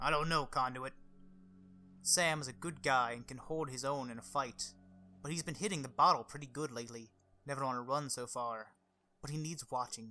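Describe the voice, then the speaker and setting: A gruff put-on character voice from a man, medium in pitch, at a fairly quick pace with long, frequent pauses over music in the background. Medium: game stream. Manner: surly, gruff.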